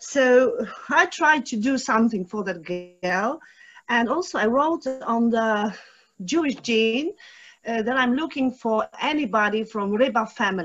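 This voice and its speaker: Someone speaks with a Polish accent while music plays in the background. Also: woman. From Poland (Rybnik). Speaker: audience member, local historian. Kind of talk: Q&A question. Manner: halting.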